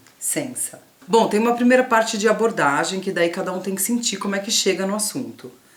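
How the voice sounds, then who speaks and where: A woman at medium pitch with ordinary pitch variation and a fairly quick pace, against noticeable background noise. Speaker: youtuber. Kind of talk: didactic casual conversation. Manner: stutters sometimes.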